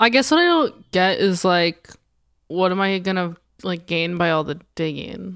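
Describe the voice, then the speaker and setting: A woman's unremarkable speaking voice at a medium pitch. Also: ordinary pitch variation, moderate pace. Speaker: podcast co-host. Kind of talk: comedic casual banter, satirical podcast.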